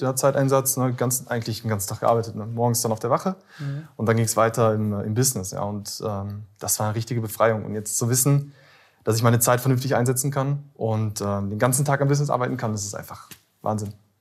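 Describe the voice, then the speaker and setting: Talking at a very fast pace, a man uses a medium pitch with ordinary pitch variation in a very clean recording with a silent background. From Ruhr area, Germany (Bottrop). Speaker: former police officer turned copywriter. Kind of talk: interview.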